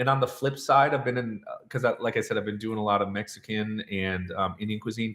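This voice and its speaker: This man's voice has a medium pitch and a fairly quick pace. His tone is animated and his intonation lively. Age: 40s. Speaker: chef and cooking channel host. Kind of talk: live-stream Q&A reading viewer comments. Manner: casual, animated.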